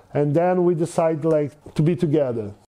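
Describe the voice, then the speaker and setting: Speaking in a Brazilian accent, a man uses a high pitch and a dark, mellow tone, moving at a moderate pace with ordinary pitch variation. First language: Portuguese. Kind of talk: interview storytelling. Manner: halting, many fillers.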